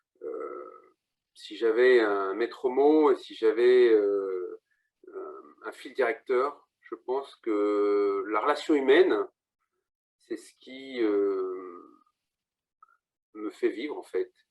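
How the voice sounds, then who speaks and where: A man at a very slow pace, with long, frequent pauses and big swings in loudness. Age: 50s. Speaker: real estate agent. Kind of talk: interview.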